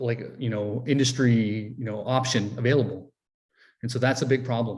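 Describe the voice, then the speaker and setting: At a fairly quick pace, a man with a medium pitch speaks in a somewhat breathy voice. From Alaska, Fort Yukon village (Gwich'in). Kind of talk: interview answers. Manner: hesitant, many fillers and restarts.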